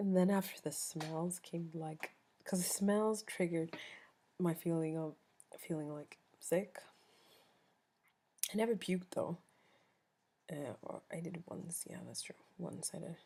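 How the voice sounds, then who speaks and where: Fairly low-pitched female voice, dark and mellow in tone, with fairly even intonation, a fairly slow pace and long, frequent pauses. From Sweden. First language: Swedish. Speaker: vlogger. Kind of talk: casual chat.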